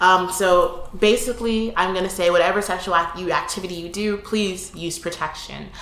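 A woman's medium-pitched voice with fairly even intonation, at a moderate pace with hardly any pauses, against noticeable background noise. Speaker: university student, podcast guest. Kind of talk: casual chat.

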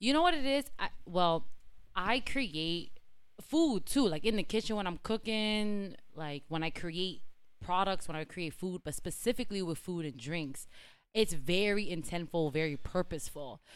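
In a very clean recording with a silent background, a woman uses a normal speaking voice at medium pitch, moving at a moderate pace with lively intonation. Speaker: brand founder and CEO. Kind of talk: casual chat. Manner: casual, conversational.

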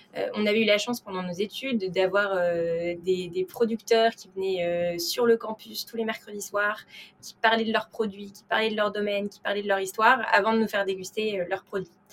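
At a moderate pace, a woman with medium pitch keeps fairly even intonation while her loudness swings widely. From France (Paris). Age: 20s. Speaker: wine startup co-founder. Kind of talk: interview conversation. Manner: hesitant with repetitions.

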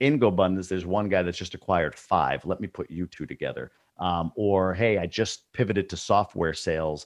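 A man with an American accent and a very deep, low pitch, ordinary pitch variation, a fairly quick pace and hardly any pauses, dry and close with no echo over a quiet background. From New York state. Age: 40s. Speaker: multifamily investor and course creator. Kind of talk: casual interview chat.

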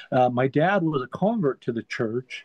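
A man with a medium pitch has a normal speaking voice. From Utah, Salt Lake City. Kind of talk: casual interview chat.

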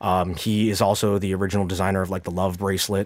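A man with a General American accent and a normal speaking voice at a moderate pace, on a very clean recording with a silent background. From US, suburbs of Washington D.C. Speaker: watch dealer and collector. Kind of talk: casual interview. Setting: studio.

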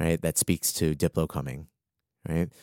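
In an American accent, a man with vocal fry speaks at a moderate pace and a very deep, low pitch, on a very clean recording with a silent background and a dry, close sound with no echo. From Arlington, Virginia (DC area). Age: 30s. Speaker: freelance marketing strategist. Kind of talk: casual interview chat. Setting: studio.

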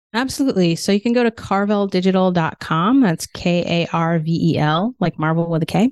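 In a normal speaking voice at medium pitch, a woman talks with hardly any pauses, very even loudness and ordinary pitch variation, in a dry, close sound with no echo. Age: 50s. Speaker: business owner, automation agency founder. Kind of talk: casual interview.

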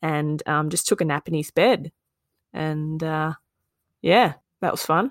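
A woman with an Australian accent and a very deep, low pitch speaks at a moderate pace, recorded very cleanly against a silent background with a dry, close sound and no echo. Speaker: podcast co-host, being interviewed. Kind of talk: casual chat, interview.

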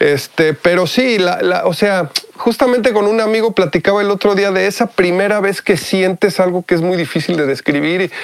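Pitch varies in an ordinary way at a moderate pace. Underneath, background noise is noticeable. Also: man, high pitch for a man. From Mexico. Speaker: musician and music producer. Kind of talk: interview.

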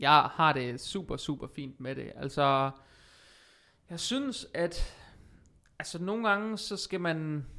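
The speaker talks at a very slow pace with long, frequent pauses on a very clean recording with a silent background. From Denmark, Vejle (Jutland). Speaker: personal trainer and podcast host. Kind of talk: casual interview conversation, being interviewed. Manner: hesitant, many fillers.

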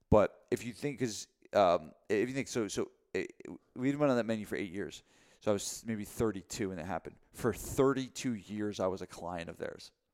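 On a very clean recording with a silent background, a man with a normal speaking voice and a fairly low pitch talks at a fairly quick pace with ordinary pitch variation. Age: 40s. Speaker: gym owner and podcast co-host. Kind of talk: casual chat.

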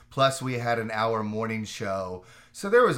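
In an American accent, a man with an ordinary speaking voice talks at fairly low pitch with fairly even intonation. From Orlando, Florida. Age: 40s. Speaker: TV executive producer. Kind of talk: interview.

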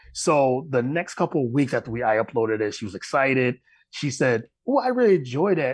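A man talks at a fairly quick pace with an American accent. The background is quiet. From upstate New York. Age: 40s. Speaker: sports podcast host. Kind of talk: interview.

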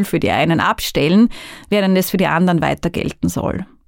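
Woman's voice with lively intonation and vocal fry on a very clean recording with a silent background. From Austria, northern Burgenland. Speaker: migration researcher. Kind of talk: podcast monologue.

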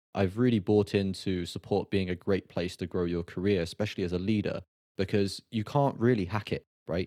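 With a British accent, this voice has a dark, mellow tone and ordinary pitch variation, moving at a fairly quick pace. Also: man. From Britain. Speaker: podcast host. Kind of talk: interview podcast. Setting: remote call.

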